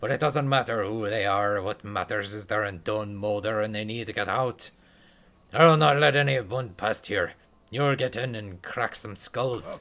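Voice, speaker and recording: Using a put-on character voice, a man talks at a moderate pace with a fairly low pitch. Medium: game stream. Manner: blunt, combative.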